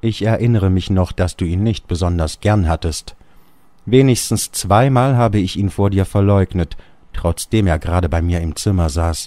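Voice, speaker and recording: Very deep and low, the man's voice has a dark, mellow tone. He speaks at a moderate pace with ordinary pitch variation. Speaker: audiobook narrator. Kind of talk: literary audiobook reading of a Kafka story.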